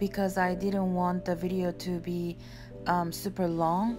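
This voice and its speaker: Music plays in the background as a woman with a non-native accent talks at a medium pitch. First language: non-native English speaker. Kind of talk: craft flip-through voice-over.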